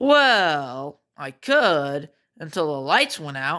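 A cartoonish character voice at a middle pitch, speaking at a very slow pace on a very clean recording with a silent background. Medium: puppet.

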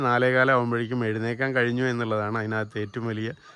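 The man's voice sits at a medium pitch. It has a bright, sharp tone. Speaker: educational video host. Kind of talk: vlog introduction. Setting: outdoors. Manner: energetic.

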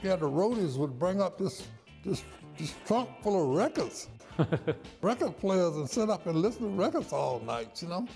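Faint music plays in the background as a man speaks. His pitch is high and makes very wide swings. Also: moderate pace. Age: 80s+. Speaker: saxophonist. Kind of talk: interview. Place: office.

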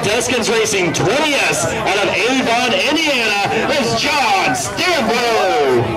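A man talks with clear music playing in the background. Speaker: track announcer. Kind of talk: driver introductions. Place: stadium. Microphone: pa.

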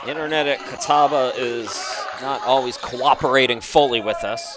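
A man is talking while noticeable noise runs underneath. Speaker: sports commentator. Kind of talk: live commentary. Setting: streamed game broadcast. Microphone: headset.

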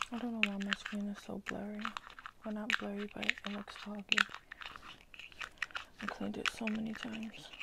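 A woman whispering with long, frequent pauses over noticeable background noise. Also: moderate pace, big swings in loudness. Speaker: ASMR creator. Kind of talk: ASMR video. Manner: whispered.

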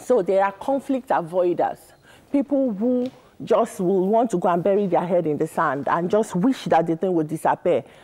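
A woman with a dark, mellow tone talks at a moderate pace with lively intonation. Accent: Nigerian. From Nigeria. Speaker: marriage counsellor; guest. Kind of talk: interview. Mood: earnest, explanatory. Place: studio. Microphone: lapel.

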